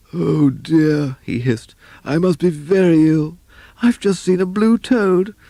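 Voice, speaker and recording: A put-on character voice at a middle pitch, hissing, at a fairly slow pace. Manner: hissing, groaning.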